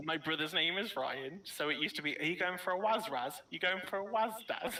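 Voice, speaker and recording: Noticeable background noise accompanies a man with a high pitch speaking at a fairly quick pace. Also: ordinary pitch variation. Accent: British. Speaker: gamer on livestream. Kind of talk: casual chat. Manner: loud.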